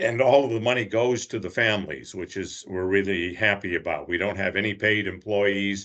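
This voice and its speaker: Speaking at a moderate pace with hardly any pauses, a man with a fairly low pitch uses ordinary pitch variation. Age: 60s. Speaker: charity fundraiser volunteer. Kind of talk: interview. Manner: hesitant, many filler uhs.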